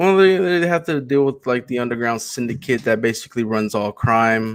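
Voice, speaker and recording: A man speaks at a moderate pace with medium pitch and lively intonation. He has a plain, everyday voice. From Texas, Houston. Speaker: comic book creator pitching a campaign. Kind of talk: casual chat.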